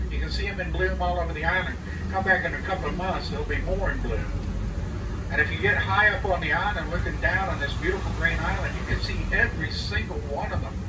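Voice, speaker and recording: Loud background noise fills the clip. A man talks at a very fast pace. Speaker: trolley tour guide. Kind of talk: tour guide commentary. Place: bus.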